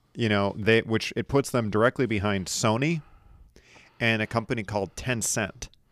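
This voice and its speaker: Recorded with a dry, close sound and no echo, a man speaks at a moderate pace in a medium pitch with ordinary pitch variation and a plain, everyday voice. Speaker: podcast host. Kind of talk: casual chat.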